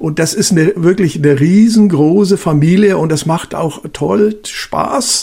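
Fairly slow speech with hardly any pauses and ordinary pitch variation, over noticeable background noise. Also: man, high pitch for a man. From Bavaria. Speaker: retired police officer. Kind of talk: casual chat.

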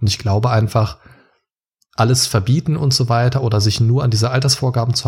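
A man talks at a fairly quick pace. His somewhat breathy voice has a dark, mellow tone. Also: very even loudness. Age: 30s. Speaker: podcaster and childcare educator. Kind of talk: casual interview.

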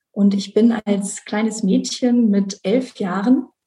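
Her fairly high voice has a dark, mellow tone, somewhat breathy, with ordinary pitch variation. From Rhineland, Germany (Bonn). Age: 30s. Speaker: conference interpreter sharing her depression story. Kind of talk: personal testimony interview. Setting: video call.

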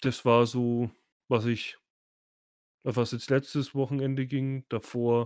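A man of medium pitch speaks at a very slow pace in a monotone, flat intonation, with long, frequent pauses. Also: dry, close sound with no echo, very clean recording, silent background. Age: 30s. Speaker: podcast host. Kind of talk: casual chat. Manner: loud. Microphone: too close to the mic; new PC recording.

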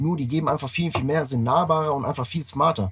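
With a plain, everyday voice, a man talks at a fairly quick pace with ordinary pitch variation. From Frankfurt, Germany. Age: 30s. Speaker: tour manager. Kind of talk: casual chat. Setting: tour bus.

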